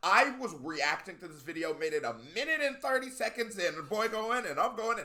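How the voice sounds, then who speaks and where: Raised and projected, a man's high, bright, sharp voice with an American accent moves at a fairly quick pace in an animated tone, with very wide pitch swings and hardly any pauses. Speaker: YouTube music reactor. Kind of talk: casual reaction video commentary. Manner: fast.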